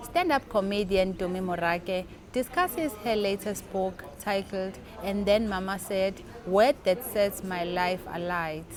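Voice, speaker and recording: Against music in the background, a woman speaks at a medium pitch, fairly slowly and with fairly even intonation. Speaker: interviewer. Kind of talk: interview questions.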